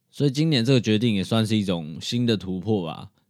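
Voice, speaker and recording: The voice is a normal speaking voice, moving at a moderate pace with ordinary pitch variation. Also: man. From Taiwan. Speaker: podcast host. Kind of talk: solo podcast monologue. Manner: casual.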